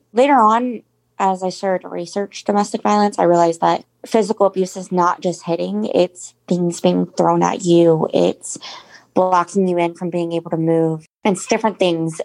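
In an American accent, a woman with an ordinary speaking voice and a fairly low pitch talks at a moderate pace with ordinary pitch variation, the sound dry and close with no echo on a very clean recording with a silent background. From Jacksonville, Florida. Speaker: domestic abuse survivor. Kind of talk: interview testimony.

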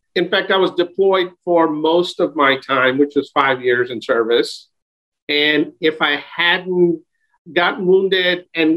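Using an unremarkable speaking voice, a man with an American accent talks at a fairly high pitch with ordinary pitch variation. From New York City, Queens. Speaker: operations director. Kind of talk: interview.

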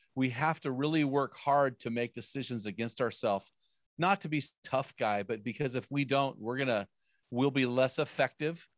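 In a normal speaking voice with ordinary pitch variation, the speaker goes at a moderate pace, recorded very cleanly against a silent background with a dry, close sound and no echo. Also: man, medium pitch for a man. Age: 50s. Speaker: author and men's ministry podcaster. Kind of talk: casual interview chat.

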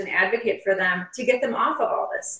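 A woman talks at a fairly high pitch. Noticeable background noise runs under her voice. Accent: slight Upper Midwest. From Upper Peninsula, Michigan. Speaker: nurse and author. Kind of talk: interview about her experience and book.

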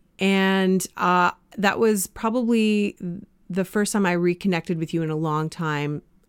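A woman's normal speaking voice with a Canadian accent, medium in pitch, fairly slow, with ordinary pitch variation and a dry, close sound free of echo. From Canada. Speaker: life coach and podcast host. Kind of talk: casual interview.

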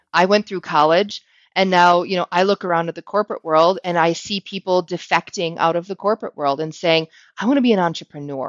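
Speaking at a fairly quick pace in an American accent, a woman has an ordinary speaking voice and a medium pitch. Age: 40s. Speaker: sales team leader and career coach. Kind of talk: interview conversation.

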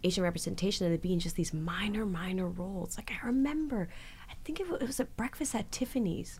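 A woman with an ordinary speaking voice talks in a Canadian accent at medium pitch. Her intonation is lively and her pace moderate. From Canada. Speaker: actress. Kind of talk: interview.

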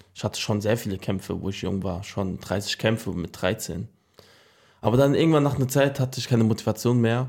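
At a moderate pace, a man with an unremarkable speaking voice is heard in a very clean recording with a silent background. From Germany, Frankfurt. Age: 20s. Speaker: boxer. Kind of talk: interview.

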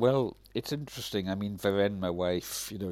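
A man speaks with a Hebridean accent on a very clean recording with a silent background. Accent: Hebridean Scottish. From Scotland, Isle of Lewis (Outer Hebrides). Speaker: writer and activist. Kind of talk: interview conversation. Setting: at his home.

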